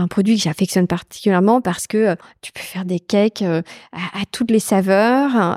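A normal speaking voice from a woman at a medium pitch, with ordinary pitch variation, big swings in loudness and a moderate pace, recorded dry and close with no echo in a very clean take with a silent background. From Brittany, France. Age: 40s. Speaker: company executive. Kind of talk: casual interview. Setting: shop.

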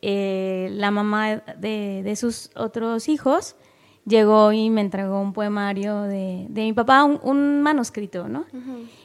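Very slowly, a woman speaks at a fairly high pitch. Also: ordinary pitch variation. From Mexico, coastal Guerrero. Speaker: poet and editor. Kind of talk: casual interview. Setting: studio booth.

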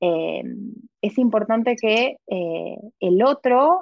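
A woman with an Argentine accent and lively intonation. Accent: Argentine Spanish (voseo). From Argentina, southern Patagonia. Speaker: tarot reader. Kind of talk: interview conversation. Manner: halting with many repetitions.

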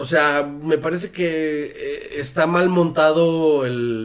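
The pitch moves in an ordinary way. The pace is very slow. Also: man. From northern Mexico (Sonora). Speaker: film school graduate, filmmaker. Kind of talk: casual chat.

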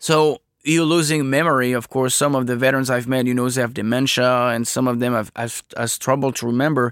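Hardly any pauses interrupt this man's fairly quick, fairly even delivery at medium pitch. The recording is very clean and the background silent. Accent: French. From France. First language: French. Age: 30s. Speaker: veteran oral historian. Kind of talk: casual interview.

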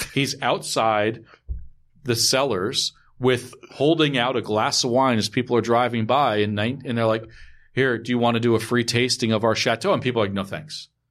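A man with an ordinary speaking voice at medium pitch, fairly even intonation and a moderate pace, against a quiet background. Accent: American. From New York, Westchester County. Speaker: wine retailer. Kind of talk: casual chat. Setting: studio.

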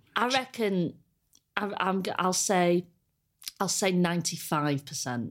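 With an English accent, a woman speaks at a very slow pace and a fairly low pitch, using lively intonation and long, frequent pauses. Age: 30s. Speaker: comedian. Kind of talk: casual chat.

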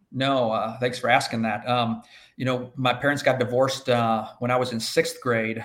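A man with an American accent speaks at medium pitch in monotone, flat intonation. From US Midwest, inner-city Chicago. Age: 50s. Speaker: agriculture insurance professional. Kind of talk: podcast interview. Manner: halting, many fillers.

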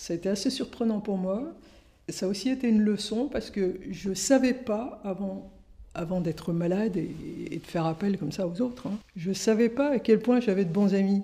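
A woman's somewhat breathy voice has a dark, mellow tone and medium pitch, with ordinary pitch variation and long, frequent pauses. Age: 60s. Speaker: journalist and author. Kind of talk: testimony. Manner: halting.

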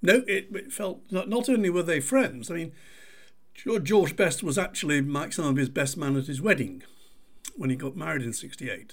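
With a Mancunian accent, a man speaks at a moderate pace in a fairly high pitch that swings very widely. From Manchester, England. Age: 70s. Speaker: author and podcast host. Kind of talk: casual interview.

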